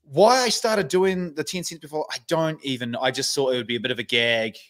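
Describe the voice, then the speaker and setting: With a New Zealand accent, a man talks fairly quickly at a fairly high pitch. His pitch swings very widely over a quiet background. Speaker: internet personality, sports bettor; podcast guest. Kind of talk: casual chat. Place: home room. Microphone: studio mic.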